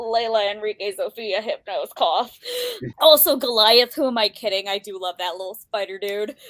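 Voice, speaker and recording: An unremarkable speaking voice with an American accent, moving at a moderate pace. Pitch varies in an ordinary way, and the sound is dry and close with no echo. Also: woman, fairly high pitch for a woman. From United States. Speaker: book podcast co-host. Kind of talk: casual chat.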